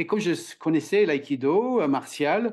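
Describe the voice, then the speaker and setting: A man with an English accent, lively intonation and a fairly slow pace, over a quiet background. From Ireland. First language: English (speaking French). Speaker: communication trainer and author. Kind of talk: podcast interview. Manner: halting, many hesitations.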